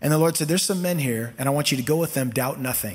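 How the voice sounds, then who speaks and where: A man speaks with an American accent and very wide pitch swings. Audible room echo surrounds the voice. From US West Coast (Costa Mesa, California). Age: 50s. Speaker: pastor. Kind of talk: sermon.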